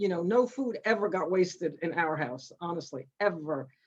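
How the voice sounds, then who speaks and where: The woman's pace is moderate. She varies her pitch in an ordinary way. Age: 60s. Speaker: Holocaust survivors' daughter and speaker. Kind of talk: testimony. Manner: halting.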